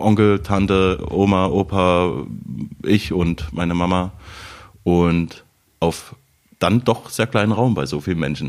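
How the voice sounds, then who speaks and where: Very slowly and with long, frequent pauses, a man talks in a very deep, low pitch with ordinary pitch variation. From Saxony, Radebeul near Dresden. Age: 30s. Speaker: TV writer and stand-up comedian. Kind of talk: casual chat.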